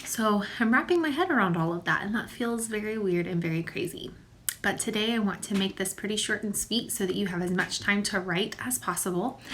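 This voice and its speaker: A woman's medium-pitched, warm voice at a fairly quick pace, with ordinary pitch variation and noticeable background noise. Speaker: elementary school teacher. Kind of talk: recorded video lesson for pupils. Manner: informal, warm.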